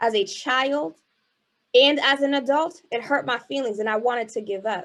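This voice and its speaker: Against a quiet background, a woman speaks with a Haitian accent. Her pitch is high, with ordinary variation. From US Northeast, Boston, Haitian American family. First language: Haitian Creole. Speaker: keynote speaker and spoken word artist. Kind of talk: motivational keynote speech. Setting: virtual event, video call. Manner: animated, rhetorical.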